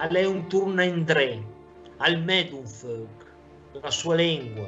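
The speech moves at a very slow pace while faint music plays in the background. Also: man. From Lombardy. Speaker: dialect poet. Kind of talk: poetry reading in Lombard dialect. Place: home room. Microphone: webcam.

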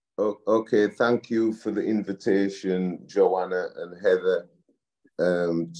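With a Yorkshire accent, a man speaks at a very slow pace against a quiet background. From West Yorkshire, England. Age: 60s. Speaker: community leader and project director. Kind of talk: presentation. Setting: video call. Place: home room. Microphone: video call.

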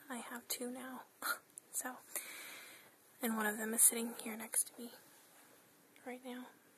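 Someone whispers with long, frequent pauses amid noticeable background noise. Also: moderate pace. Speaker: hobby video maker. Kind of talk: ASMR show and tell. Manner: whispered. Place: home room. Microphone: phone near.

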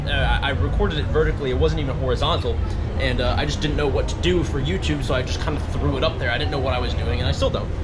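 A man talks at a very fast pace. There is loud background noise. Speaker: travel vlogger. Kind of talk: casual vlog chat. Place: boat. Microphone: phone near.

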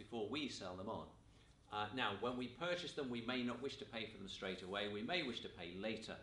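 A man is speaking. The room echo is audible. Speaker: teacher. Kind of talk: lecture. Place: classroom.

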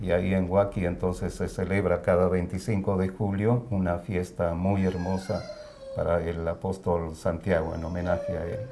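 Over light background noise, a man speaks at a fairly slow pace. His pitch is very deep and low, and his intonation is monotone and flat. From Bolivia, La Paz. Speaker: immigrant. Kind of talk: interview. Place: home room. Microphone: lapel.

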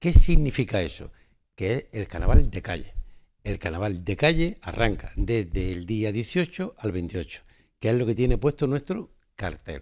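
Against a quiet background, a man with a fairly low pitch moves at a moderate pace through very wide pitch swings. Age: 70s. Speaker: carnival organizer. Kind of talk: TV interview. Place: studio.

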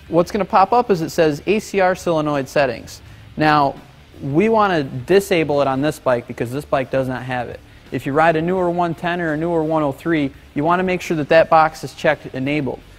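Faint music plays behind a man talking at a fairly quick pace with ordinary pitch variation. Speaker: presenter. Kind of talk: tutorial. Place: workshop.

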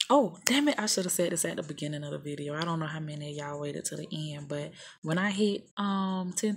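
This woman speaks with an American accent and a fairly low pitch. Her voice is somewhat breathy, with ordinary pitch variation. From US South. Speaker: YouTuber. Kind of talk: casual tutorial vlog. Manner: casual, hesitant with fillers. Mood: casual, a bit scattered. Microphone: phone near.

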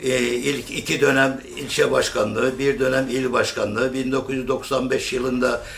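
Over noticeable background noise, a man speaks at a moderate pace with a medium pitch. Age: 70s. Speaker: lathe craftsman and former local politician. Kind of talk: interview answer.

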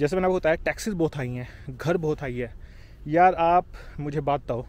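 A man's voice, fairly high in pitch. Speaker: YouTuber, Indian immigrant in Canada. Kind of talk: casual vlog monologue.

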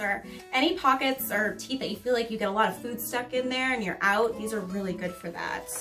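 A woman speaks at a moderate pace with ordinary pitch variation. Clear music plays in the background. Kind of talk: product show-and-tell explanation. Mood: friendly, upbeat. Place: office.

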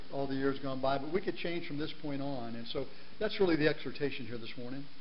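A man talking at a very fast pace with ordinary pitch variation, over light background noise. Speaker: guest preacher. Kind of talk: sermon. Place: church.

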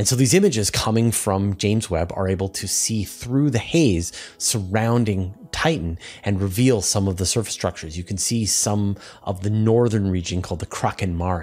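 A man at a moderate pace, fairly low in pitch, with ordinary pitch variation. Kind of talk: science explainer commentary. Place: home room. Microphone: studio mic.

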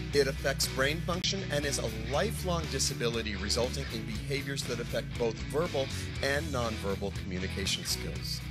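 Over loud background music, a man talks at a fairly quick pace. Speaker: event emcee / host. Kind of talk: charity livestream hosting. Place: stage. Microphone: handheld.

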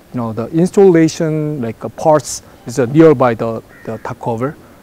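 With a dark, mellow tone, a man speaks at medium pitch and a moderate pace with ordinary pitch variation.

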